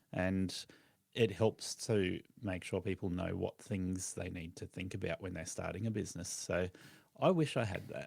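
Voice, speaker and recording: A man's very deep, low voice with an Australian accent and fairly even intonation. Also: moderate pace. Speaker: lawn care business owner and podcast host. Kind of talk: podcast interview.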